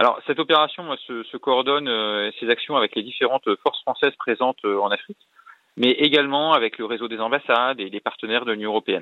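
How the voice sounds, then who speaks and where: A man talks at a very fast pace, with pitch that varies in an ordinary way. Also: medium pitch for a man. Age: 40s. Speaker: naval officer, ship commander. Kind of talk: radio interview. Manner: hesitant, frequent fillers.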